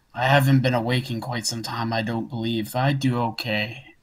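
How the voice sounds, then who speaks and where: A man uses a put-on character voice at medium pitch. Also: moderate pace. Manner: polite, courteous.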